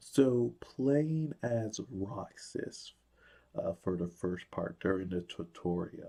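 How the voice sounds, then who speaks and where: Over a quiet background, a man with a dark, mellow tone speaks with ordinary pitch variation. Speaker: gaming YouTuber. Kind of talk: video game commentary. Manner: hesitant, many fillers.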